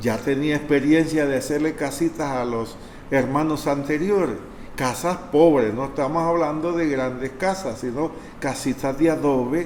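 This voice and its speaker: A man's fairly high voice at a fairly slow pace with fairly even intonation, amid audible room echo and noticeable background noise. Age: 60s. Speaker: priest. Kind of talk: testimony.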